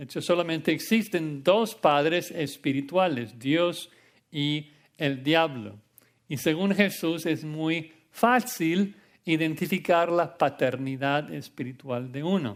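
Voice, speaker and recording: A man's fairly high voice with an English accent and ordinary pitch variation, at a very slow pace, on a very clean recording with a silent background. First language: English (speaking Spanish). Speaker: pastor. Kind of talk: sermon.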